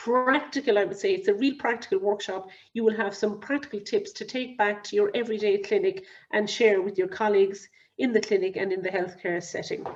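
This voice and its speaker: A woman's fairly high-pitched voice in a Cork accent at a fairly quick pace. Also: ordinary pitch variation. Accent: Cork Irish. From Ireland, Cork. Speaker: clinical risk advisor. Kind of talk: webinar lecture. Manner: fast.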